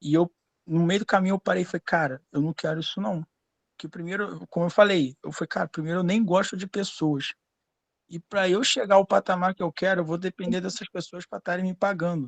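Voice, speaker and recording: A man at a high pitch and fairly quick pace, with a Rio de Janeiro accent, in a dry, close sound with no echo against a quiet background. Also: ordinary pitch variation. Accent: Rio de Janeiro (carioca). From Brazil, Rio de Janeiro. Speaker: student in an online class, lawyer. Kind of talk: casual personal story in live class. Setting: live online class.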